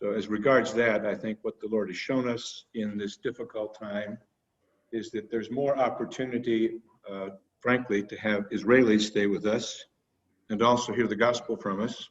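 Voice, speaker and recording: A man's medium-pitched voice moves at a moderate pace in a monotone, flat intonation. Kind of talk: report at an online annual general meeting. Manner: halting, with frequent repetitions.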